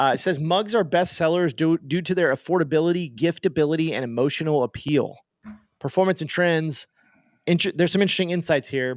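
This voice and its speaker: Fairly high-pitched male voice at a fairly quick pace, with ordinary pitch variation, a dry, close sound with no echo and a very clean recording, silent background. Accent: Oklahoma. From Oklahoma. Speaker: podcast host. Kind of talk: casual podcast discussion. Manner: casual, many fillers and restarts.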